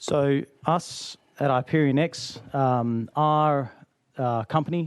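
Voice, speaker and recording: Against a quiet background, a man's pitch shifts in an ordinary way as he talks. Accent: Australian. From Australia. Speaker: company founder and executive. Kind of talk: committee testimony. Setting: legislative hearing room.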